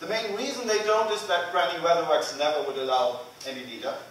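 A man at a moderate pace with very wide pitch swings, audible room echo and light background noise. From Germany. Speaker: agile coach. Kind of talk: conference lightning talk. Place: hall. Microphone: camera far.

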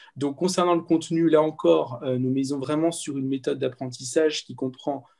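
A man speaks at a moderate pace in a dark, mellow tone, his pitch fairly high for a man with ordinary pitch variation. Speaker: medical student and tutoring coordinator. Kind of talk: webinar presentation.

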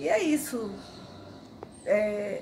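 There is a woman speaking. Light background noise runs underneath. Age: 60s. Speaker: patient giving a testimonial. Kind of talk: patient testimonial. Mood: calm, pleased. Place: garden. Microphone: phone near.

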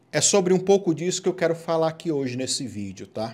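The voice has an animated, warm tone and very wide pitch swings. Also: man. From Goiás, Brazil. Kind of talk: sermon-style preaching with Bible reading and end-times commentary to camera. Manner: animated, urgent, exhorting the viewer directly; informal and warm, chatty. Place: home room.

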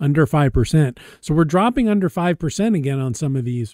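Over a quiet background, a man speaks with lively intonation at a moderate pace, the sound dry with no echo. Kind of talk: screen-share product commentary. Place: home room. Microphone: webcam.

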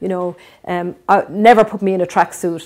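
This is a woman's voice. She talks at a moderate pace. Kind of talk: interview answer. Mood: earnest, reflective. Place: home room. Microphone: lapel.

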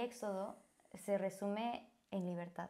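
The background is quiet. A woman is speaking. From Bolivia. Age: 20s. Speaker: church volunteer. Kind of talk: interview. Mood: warm, earnest. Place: studio. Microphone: lapel.

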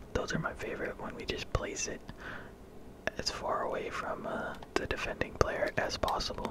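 Against noticeable background noise, a man whispers in a relaxed tone at a fairly slow pace. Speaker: gaming ASMR content creator. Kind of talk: casual gameplay commentary. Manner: relaxed, quiet.

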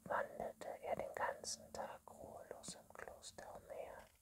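A woman whispers, her loudness swinging widely. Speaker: ASMR reader. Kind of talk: bedtime story reading. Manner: whispered. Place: home room.

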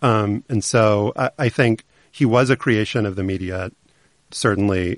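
A man's fairly low-pitched, normal speaking voice with ordinary pitch variation, in a dry, close sound with no echo and a quiet background. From US South. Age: 40s. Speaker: journalist and podcast host. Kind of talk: interview.

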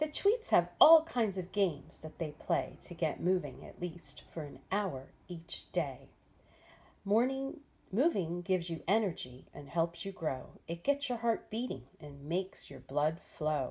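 A woman speaks at a fairly low pitch and fairly slow pace in a dark, mellow, somewhat breathy tone. Her pitch swings very widely and her loudness varies a lot. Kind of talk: storybook read-aloud. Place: home room. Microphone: phone near.

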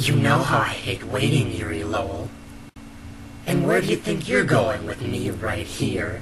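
A man talks at a moderate pace in a medium pitch. Loud background noise runs behind him. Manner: manic, taunting, gleeful; frenzied shouting.

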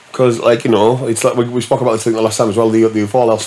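A man with a northern English accent, fairly low in pitch, at a very fast pace over light background noise. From northern England. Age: 40s. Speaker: DJ; podcast guest. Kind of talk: casual chat. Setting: studio. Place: studio. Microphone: studio mic.

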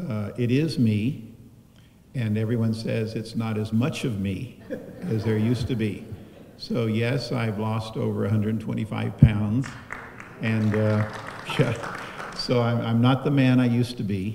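There is noticeable background noise as a man speaks at a fairly slow pace. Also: fairly even intonation. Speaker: speaker. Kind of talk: eulogy remarks to a congregation. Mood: warm, lightly humorous, emotional. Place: church.

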